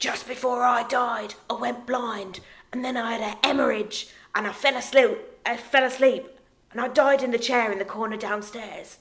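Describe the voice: Putting on a raspy character voice, a woman speaks at a moderate pace with a high pitch.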